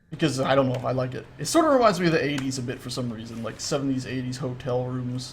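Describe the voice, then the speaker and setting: A speaker with an American accent talks at a very fast pace amid audible room echo. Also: man. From US South, Florida. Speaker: gaming livestreamer. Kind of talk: casual gameplay livestream chat. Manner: animated.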